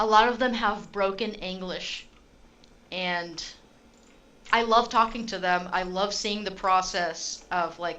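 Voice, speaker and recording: A woman speaks in a bright, sharp tone with an American accent, her pitch medium. The intonation stays monotone and flat, and there is audible room echo. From Utah, US. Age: 20s. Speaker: gaming streamer. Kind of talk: casual live stream chat and gameplay. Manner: casual, conversational.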